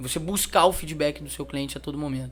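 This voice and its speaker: On a very clean recording with a silent background, a man speaks with a Minas Gerais accent. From Minas Gerais, Brazil (Juiz de Fora). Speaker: customer feedback company representative. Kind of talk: interview. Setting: event interview.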